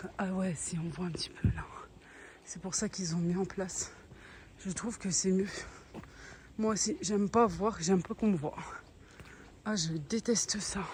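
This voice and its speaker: A woman of medium pitch and a somewhat breathy voice speaks at a fairly slow pace, with ordinary pitch variation and long, frequent pauses. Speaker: family vlogger and cooking appliance seller. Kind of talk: sales pitch; casual vlog. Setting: outdoors walking. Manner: hesitant with fillers; soft-spoken.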